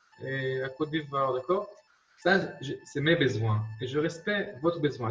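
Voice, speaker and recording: A man with an Israeli accent speaks with lively intonation. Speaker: marketing consultant. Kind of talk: lecture. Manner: halting, many repetitions.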